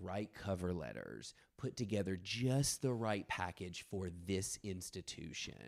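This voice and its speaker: A man's animated, very deep, low voice at a fairly slow pace. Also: lively intonation. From US South, rural West Tennessee. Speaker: dance artist and performance maker. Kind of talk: casual chat.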